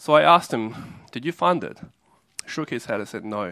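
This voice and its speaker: The recording is very clean with a silent background, carrying a voice with an Australian accent. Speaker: preacher. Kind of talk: sermon. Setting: church. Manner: halting.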